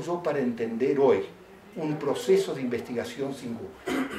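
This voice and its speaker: With audible room echo and noticeable background noise, a man talks in very wide pitch swings. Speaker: professor. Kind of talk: lecture. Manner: fast.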